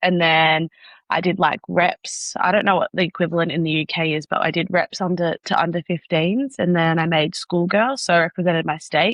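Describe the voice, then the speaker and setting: A woman's fairly low-pitched voice with an Australian accent, fairly quick in pace and fairly even in intonation. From Australia, Sydney. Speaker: professional netball player. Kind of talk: podcast interview. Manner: casual, filler-heavy.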